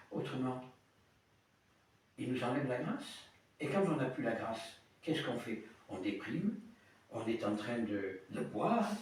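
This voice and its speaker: In a space with audible room echo, a man speaks at a fairly slow pace, his pitch swinging very widely. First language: Italian (speaking French). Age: 70s. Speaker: priest. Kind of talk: sermon. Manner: halting.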